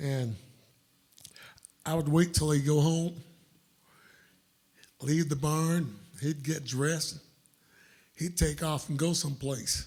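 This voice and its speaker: Speaking with a Southern US accent, a man uses a fairly high pitch and a somewhat breathy voice, moving at a very slow pace with fairly even intonation and long, frequent pauses. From US South, upstate South Carolina. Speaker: blues musician. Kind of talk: storytelling on stage. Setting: stage with audience.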